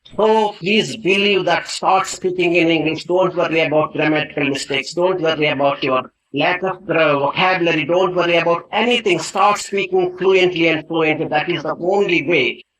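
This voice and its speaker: Hardly pausing, a man with a high pitch speaks at a moderate pace with fairly even intonation. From India. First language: Indian language. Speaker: English teacher. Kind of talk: motivational talk. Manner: earnest, with fillers and self-corrections.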